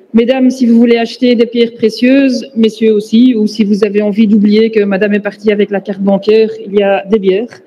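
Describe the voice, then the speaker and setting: A woman with a fairly high pitch and fairly even intonation, moderate pace, noticeable background noise behind her. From Belgium, Flanders (Antwerp). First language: Dutch (speaking French). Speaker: pain researcher and lecturer. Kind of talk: conference lecture.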